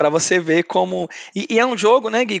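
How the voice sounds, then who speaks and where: A man talks at a very fast pace with very wide pitch swings, in a dry, close sound with no echo. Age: 20s. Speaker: podcast co-host. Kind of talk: casual chat.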